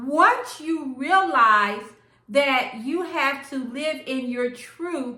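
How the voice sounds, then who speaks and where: A woman's high, bright, sharp voice, raised and projected, with lively intonation and audible room echo. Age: 60s. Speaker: lifestyle vlogger. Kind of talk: casual vlog talk to camera.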